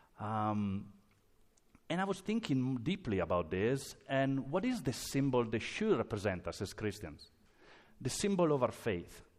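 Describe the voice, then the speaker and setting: Speaking at a fairly slow pace in an Italian accent, a man with a medium pitch makes very wide pitch swings. The recording is very clean, with a silent background. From Italy. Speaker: pastor. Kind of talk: sermon. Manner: halting.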